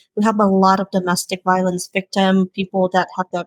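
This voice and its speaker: A woman's medium-pitched voice with a non-native accent, dry and close with no echo. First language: not English. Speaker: beauty business founder. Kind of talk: podcast interview. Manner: halting, frequent fillers.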